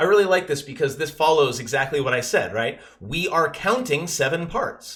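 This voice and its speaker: A man's fairly high voice with lively intonation and hardly any pauses. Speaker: math teacher. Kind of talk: lesson. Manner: fast.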